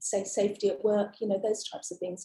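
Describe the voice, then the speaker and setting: A woman's fairly high-pitched voice has a dark, mellow tone and sounds somewhat breathy. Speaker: witness at a public inquiry. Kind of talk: witness testimony. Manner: hesitant, many fillers. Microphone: too quiet, far from mic.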